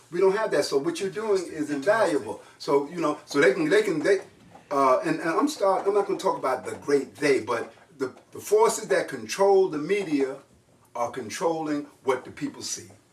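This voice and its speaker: A man with a high pitch speaks at a moderate pace in an animated tone, with lively intonation. Noticeable background noise runs underneath. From New York. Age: 60s. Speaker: jazz trombonist and composer. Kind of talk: casual interview conversation. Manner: animated, repetitive.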